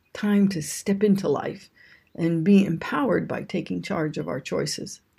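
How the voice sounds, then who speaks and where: A woman with a dark, mellow tone and some vocal fry talks at a very slow pace. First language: English (speaking Japanese). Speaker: ayurveda and yoga teacher. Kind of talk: scripted talk on yoga philosophy.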